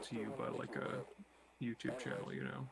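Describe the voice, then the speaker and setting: Against noticeable background noise, a man speaks quietly at a moderate pace and medium pitch. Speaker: guest streamer. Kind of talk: casual chat. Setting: live stream. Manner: varies between loud and quiet. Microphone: quiet on the capture.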